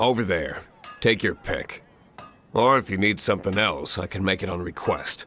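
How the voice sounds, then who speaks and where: A man uses a gruff, put-on character voice with a fairly low pitch. He keeps a moderate pace and fairly even intonation. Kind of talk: game voice acting. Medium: video game. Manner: gruff, curt, sighing.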